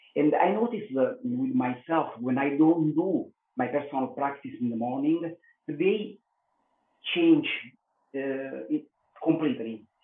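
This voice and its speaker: Speaking in an Italian accent, a man with a fairly high pitch moves at a fairly slow pace, his pitch swinging very widely and his pauses long and frequent. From Italy. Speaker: yoga teacher, former police detective. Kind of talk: podcast interview answer. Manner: hesitant, many filler sounds.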